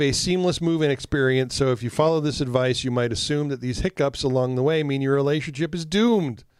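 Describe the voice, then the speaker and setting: A man's fairly high voice at a fairly quick pace. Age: 50s. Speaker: relationship podcast co-host. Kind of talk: casual chat. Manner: soft tone.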